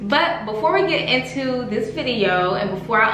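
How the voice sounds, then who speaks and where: A woman is heard with audible room echo and faint music in the background. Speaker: beauty vlogger. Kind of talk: casual vlog chat. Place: home room.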